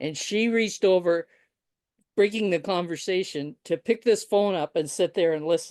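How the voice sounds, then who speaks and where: Here a woman has a plain, everyday voice, speaking at a moderate pace with ordinary pitch variation. The sound is dry and close with no echo, over a quiet background. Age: 60s. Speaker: writer and podcaster. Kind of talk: interview conversation.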